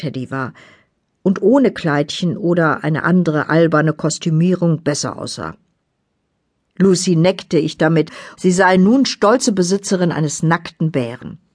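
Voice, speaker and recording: A woman speaks fairly slowly at a fairly low pitch, her intonation lively and her speech broken by long, frequent pauses. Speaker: audiobook narrator. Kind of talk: dramatic audiobook narration, first person. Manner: suspenseful, vivid, measured pace; brooding, eerie, tense.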